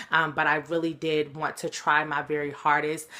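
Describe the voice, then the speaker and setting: A woman speaks with a very deep, low pitch. Her tone is bright and sharp, and her pace is moderate. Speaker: motivational speaker. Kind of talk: recorded webinar talk. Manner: casual, many filler ums.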